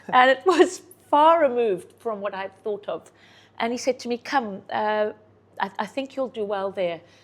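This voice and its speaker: In a very clean recording with a silent background, a woman with a Zimbabwean accent speaks at a moderate pace and fairly high pitch, with lively intonation and big swings in loudness. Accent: sounds South African, Zimbabwean. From Zimbabwe, farm upbringing. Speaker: real estate agent. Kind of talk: interview. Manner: animated.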